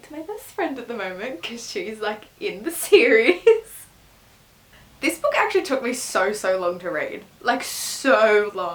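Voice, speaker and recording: Noticeable background noise sits behind a woman speaking with an Australian accent. Her intonation is lively. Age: 20s. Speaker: book reviewer. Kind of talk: casual talk to camera.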